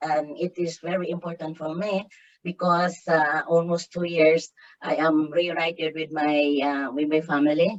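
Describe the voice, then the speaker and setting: A woman with a very deep, low pitch. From Philippines, Davao del Sur. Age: 60s. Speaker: writer and development worker. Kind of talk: interview. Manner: halting, many fillers.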